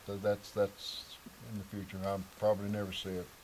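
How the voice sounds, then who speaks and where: The man's pitch is fairly low and his pace moderate. Background noise can be noticed throughout. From Missouri Ozarks. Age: 80s+. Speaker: local elder. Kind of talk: interview.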